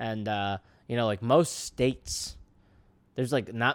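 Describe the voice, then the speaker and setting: On a very clean recording with a silent background, a man with an American accent uses a normal speaking voice at a moderate pace. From New York City (the Bronx). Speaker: comedian and podcast host. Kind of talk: casual chat.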